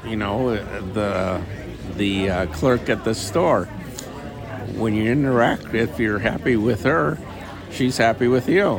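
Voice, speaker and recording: Amid crowd noise and audible room echo, a man with a medium pitch talks at a very slow pace, using ordinary pitch variation and long, frequent pauses. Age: 70s. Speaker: former FBI agent, life advice guest. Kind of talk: casual interview. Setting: outdoors at a coffee shop.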